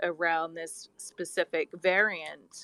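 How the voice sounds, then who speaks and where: A woman speaks with an Australian accent. Her pace is very slow. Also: dry, close sound with no echo. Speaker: scientist, caller with long covid. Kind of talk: question from audience in a live discussion.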